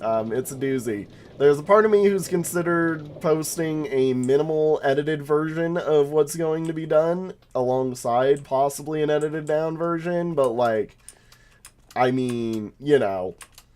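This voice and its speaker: Over music in the background, a man talks at a moderate pace, his fairly high voice showing ordinary pitch variation. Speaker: gaming streamer. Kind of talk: casual gameplay commentary. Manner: casual, many filler words.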